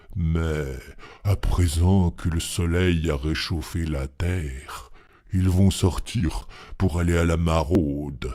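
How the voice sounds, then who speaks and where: In a put-on character voice, a man speaks at a very slow pace with a very deep, low pitch, on a very clean recording with a silent background. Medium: read story. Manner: calm, earnest.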